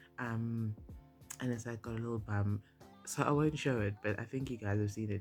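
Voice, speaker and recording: The speaker is a man with a medium pitch. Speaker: beauty and lifestyle vlogger. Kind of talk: casual vlog chat. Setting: in her old bedroom at home. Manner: chatty, many fillers.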